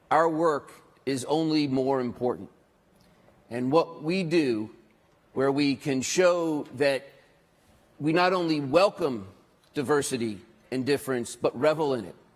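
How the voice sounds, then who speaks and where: Speaking at a fairly slow pace with long, frequent pauses, a man uses ordinary pitch variation. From US, Washington DC. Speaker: conference speaker, social enterprise leader. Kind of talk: conference presentation. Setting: stage with audience. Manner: halting, repeats words.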